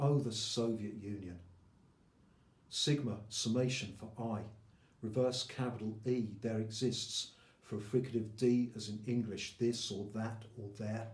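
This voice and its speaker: The man's voice is somewhat breathy, at a medium pitch. He speaks at a fairly slow pace with monotone, flat intonation. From England. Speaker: poet. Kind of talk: poetry reading.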